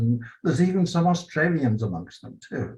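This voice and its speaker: Speaking with an English accent, a man uses lively intonation at a moderate pace, sounding somewhat breathy. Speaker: franchise business owner. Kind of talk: award acceptance interview.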